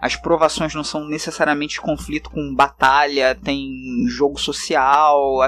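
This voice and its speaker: A man with a Carioca accent speaks fairly slowly, with hardly any pauses. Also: fairly high pitch for a man, fairly even intonation. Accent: carioca accent, hissed S and R. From Brazil, Rio de Janeiro. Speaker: tabletop RPG game designer. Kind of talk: casual podcast interview.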